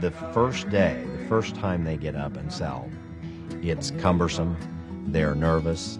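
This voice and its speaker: Music plays in the background as a man with a very deep, low pitch speaks at a very slow pace with ordinary pitch variation. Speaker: auctioneer and auction school instructor. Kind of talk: interview answer. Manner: conversational, with hesitations.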